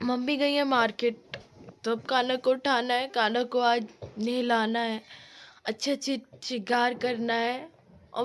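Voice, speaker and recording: At a high pitch and a fairly slow pace, a woman talks in a monotone, flat way on a very clean recording with a silent background. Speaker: vlogger. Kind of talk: casual vlog chat. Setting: at home, sitting in a blanket.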